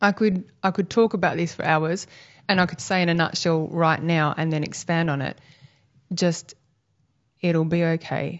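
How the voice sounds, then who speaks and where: Talking at a moderate pace with long, frequent pauses, a woman with an Australian accent has a fairly low pitch and fairly even intonation. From Western Australia. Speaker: homeschooling parent and advocate. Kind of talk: casual interview. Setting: at her home.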